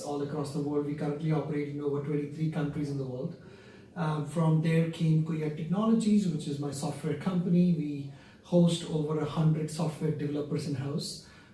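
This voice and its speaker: A man with an Indian accent talks at a fairly quick pace in a fairly high voice with a monotone, flat intonation. Noticeable background noise and audible room echo are present. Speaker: company founder and CEO. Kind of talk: interview.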